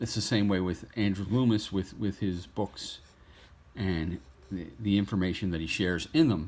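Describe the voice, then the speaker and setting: This man has a fairly low pitch with ordinary variation. His pace is moderate. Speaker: artist. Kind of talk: tutorial. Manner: halting.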